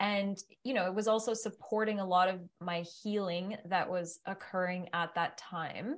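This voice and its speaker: Over a quiet background comes a plain, everyday voice at a moderate pace with fairly even intonation. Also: woman, medium pitch for a woman. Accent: Canadian. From Ottawa, Canada. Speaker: yoga teacher. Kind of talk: casual chat.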